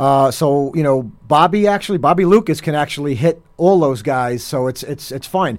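This man's fairly high pitch carries a New Jersey accent and ordinary pitch variation. His moderate pace has hardly any pauses. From New Jersey (Hoboken). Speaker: heavy metal drummer. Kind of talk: radio interview.

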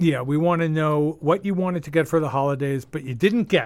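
Speaking in a plain, everyday voice, a man keeps a moderate pace, with a fairly high pitch that varies in an ordinary way. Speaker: radio host. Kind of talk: casual banter on a radio show. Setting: studio.

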